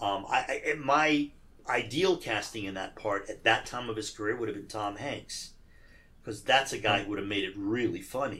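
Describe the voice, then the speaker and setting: Here a man speaks at a medium pitch and moderate pace. His tone is bright and sharp, with ordinary pitch variation. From Iran. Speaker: actor and producer. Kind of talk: casual chat.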